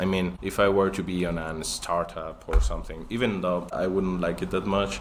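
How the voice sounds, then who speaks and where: A man with a Spanish accent speaks at a moderate pace in a very deep, low voice. Noticeable background noise runs under him. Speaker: magician. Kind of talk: casual chat. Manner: halting.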